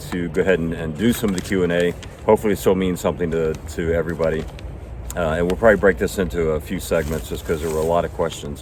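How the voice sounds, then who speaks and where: Talking at a very fast pace, a man with a very deep, low pitch is heard over noticeable background noise. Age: 60s. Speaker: retired hiker and video host. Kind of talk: casual chat.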